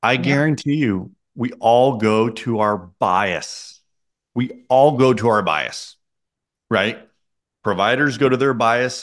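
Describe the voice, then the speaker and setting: Over a quiet background, a man speaks at a very slow pace with long, frequent pauses and ordinary pitch variation. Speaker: guest. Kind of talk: interview answer. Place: office. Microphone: studio mic.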